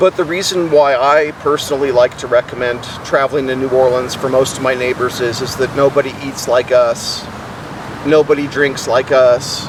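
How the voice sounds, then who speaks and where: Amid noticeable background noise, a man talks at a moderate pace and medium pitch with fairly even intonation. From New Orleans, Louisiana. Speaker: person experiencing homelessness. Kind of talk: interview answer.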